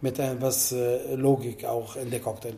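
At a moderate pace, a man speaks with ordinary pitch variation while audible room echo surrounds him. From Italy. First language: Italian (speaking German). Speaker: bartender. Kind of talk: interview. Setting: in a bar.

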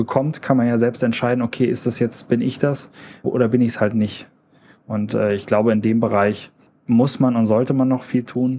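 This man's voice has a dark, mellow tone, medium pitch and fairly even intonation at a moderate pace. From Germany, northern Hesse (rural). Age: 30s. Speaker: industry employee and podcaster. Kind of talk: casual interview chat. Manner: hesitant fillers, repetitions.

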